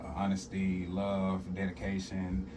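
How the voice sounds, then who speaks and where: A man speaks at a fairly low pitch, with audible echo from the room. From South Arkansas, US South. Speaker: hip-hop artist and stand-up comedian. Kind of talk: radio interview. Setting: radio studio.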